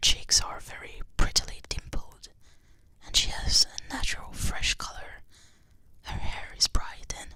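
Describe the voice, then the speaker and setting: Someone whispers at a fairly slow pace. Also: woman. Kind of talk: ASMR book reading. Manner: whispered.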